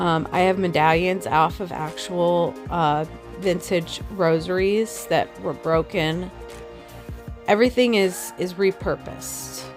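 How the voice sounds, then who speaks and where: With music in the background, a woman speaks at a very slow pace, leaving long, frequent pauses. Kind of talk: DIY tutorial talk to camera.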